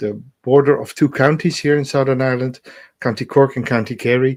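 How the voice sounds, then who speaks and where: Medium in pitch, a man speaks in a normal speaking voice at a moderate pace. The recording is very clean, with a silent background. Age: 60s. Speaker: spiritual podcast co-host, druid. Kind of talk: casual chat.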